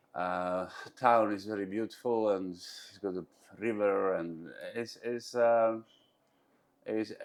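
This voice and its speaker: Speaking very slowly with long, frequent pauses, a man with a Bosnian accent uses a fairly low pitch, ordinary pitch variation and big swings in loudness. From Bosnia, Mostar. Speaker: entrepreneur. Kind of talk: interview. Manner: halting, with many fillers.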